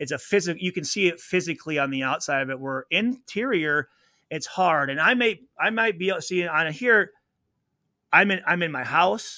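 Against a quiet background, a man with a high pitch and a bright, sharp tone talks at a moderate pace with lively intonation, the sound dry with no echo. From US Midwest. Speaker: retired pro football player; podcast guest. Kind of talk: interview. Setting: video call. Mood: earnest, reflective. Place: home room. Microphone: studio mic.

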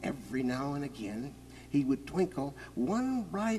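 Speaking fairly slowly, a man has a dark, mellow tone and lively intonation. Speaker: author. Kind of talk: children's story reading. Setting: outdoors, with orchestral backing. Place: forest.

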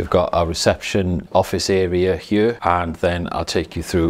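The pace is moderate. Intonation stays monotone and flat. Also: man. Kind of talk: guided tour narration. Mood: calm, respectful. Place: office. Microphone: phone near.

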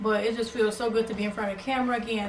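A woman is speaking. Light background noise and audible room echo are present. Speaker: beauty YouTuber. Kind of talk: casual talk to camera. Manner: upbeat. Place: home room. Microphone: camera far.

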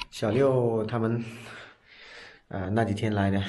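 Flat and monotone in intonation, a man speaks with a dark, mellow tone at a very slow pace. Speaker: vlogger. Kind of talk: casual vlog chat. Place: studio. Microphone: phone near.

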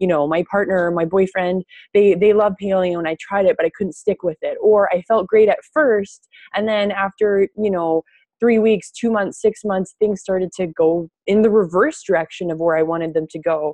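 A woman speaks at a moderate pace in a dark, mellow tone with ordinary pitch variation, the sound dry with no echo and the background quiet. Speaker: nutrition coach. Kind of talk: webinar talk. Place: kitchen. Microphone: earbuds.

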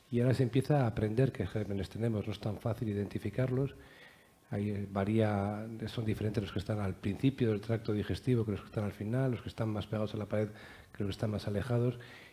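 A man talks at a very fast pace, his fairly low pitch carrying a dark, mellow tone, a somewhat breathy quality, and fairly even intonation. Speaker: neurologist; panelist. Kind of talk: panel discussion. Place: hall. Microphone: headset.

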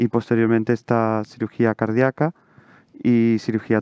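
A man speaks in a fairly low voice over a quiet background, the sound dry with no echo. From Chile. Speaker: surgical resident. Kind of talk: Q&A answers. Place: hall.

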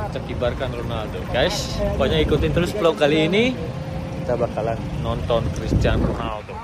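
The sound is dry with no echo as a man speaks at a moderate pace over loud background noise. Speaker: vlogger. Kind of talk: casual vlog chat. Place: stadium. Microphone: phone near.

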